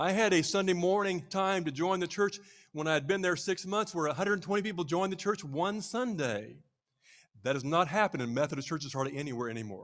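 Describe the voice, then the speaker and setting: Talking at a very fast pace with an American accent, a high-voiced man sounds animated, his intonation lively, on a very clean recording with a silent background. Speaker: pastor. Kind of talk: speech to church leadership retreat.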